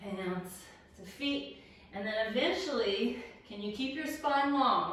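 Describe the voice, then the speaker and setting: Against audible room echo, a woman with an American accent speaks at a very slow pace with lively intonation and a bright, sharp tone. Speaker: movement instructor. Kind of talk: guided exercise class. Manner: instructive, counting cues.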